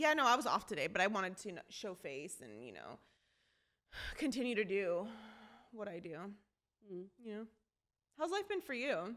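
A woman talks at a moderate pace with a bright, sharp tone, vocal fry and very wide pitch swings. Her loudness rises and falls sharply, and she leaves long, frequent pauses. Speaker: podcast co-host.

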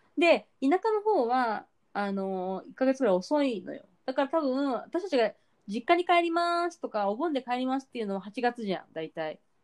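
A woman with a high pitch talks at a moderate pace, her pitch swinging very widely. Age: 40s. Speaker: podcast co-host. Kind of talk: casual chat.

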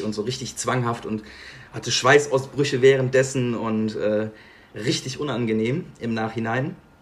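A man of medium pitch at a moderate pace, with fairly even intonation and noticeable background noise. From Bergisches Land, western Germany. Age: 20s. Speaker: podcast guest sharing mental health story. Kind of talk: personal testimony in interview.

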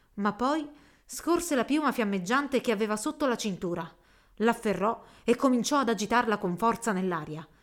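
A natural reading voice moves with a lively intonation.

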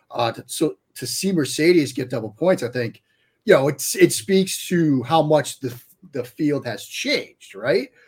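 A man with a fairly high pitch speaks at a fairly slow pace. His voice is somewhat breathy and shows big swings in loudness. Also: lively intonation. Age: 40s. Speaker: sports writer and analyst. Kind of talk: casual podcast chat.

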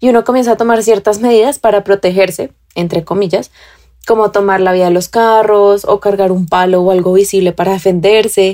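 Speaking at a fairly quick pace, a woman with a dark, mellow tone and a medium pitch keeps her intonation fairly even and her loudness very even. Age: 20s. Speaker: urban cyclist. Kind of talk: recorded testimony.

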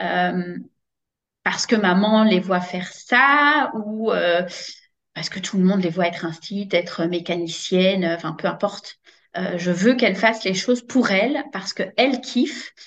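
Here is a woman with an ordinary speaking voice at a medium pitch. She talks at a fairly slow pace with ordinary pitch variation. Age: 30s. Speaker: network marketing coach, former teacher. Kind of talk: interview testimony.

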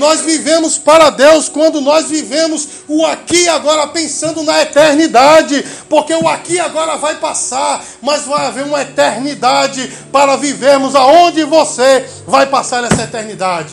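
Extremely high pitch for a man, fairly even intonation, a moderate pace with hardly any pauses, and noticeable background noise. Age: 40s. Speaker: pastor. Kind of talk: sermon. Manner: halting.

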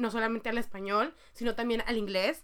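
This woman's high-pitched voice has a bright, sharp tone and ordinary pitch variation. The recording is very clean, with a silent background. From Mexico. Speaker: podcast co-host. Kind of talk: casual chat.

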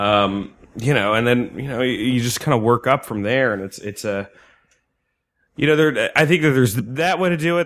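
A man's ordinary speaking voice at a moderate pace, with lively intonation. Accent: American. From New Jersey. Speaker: stand-up comedian. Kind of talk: casual chat. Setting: studio.

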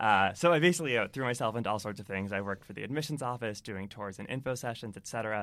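Very fast and with hardly any pauses, a man with an American accent speaks at medium pitch with ordinary pitch variation and big swings in loudness. The recording is very clean with a silent background. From Massachusetts, Boston area. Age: 20s. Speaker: entrepreneur. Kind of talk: interview.

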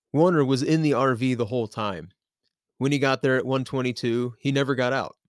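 An ordinary speaking voice from a man with an American accent, medium pitch, fairly even intonation and a moderate pace, in a dry, close sound with no echo. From US South, Nashville, Tennessee. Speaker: podcast host. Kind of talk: casual chat; true crime narration.

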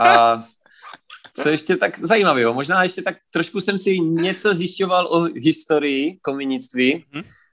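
With lively intonation and a high pitch, a man talks at a fairly slow pace in a very clean recording with a silent background. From Czechia, Prostějov region (Moravia). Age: 20s. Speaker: chimney sweep. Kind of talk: interview.

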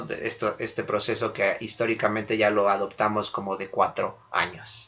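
A man at a moderate pace. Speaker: sports podcast host. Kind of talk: casual sports chat. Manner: halting, frequent repetitions.

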